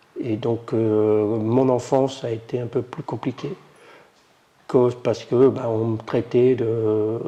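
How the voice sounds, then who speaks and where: A very slow pace with monotone, flat intonation. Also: man, medium pitch for a man. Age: 60s. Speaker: adult literacy learner. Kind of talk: testimony. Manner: halting.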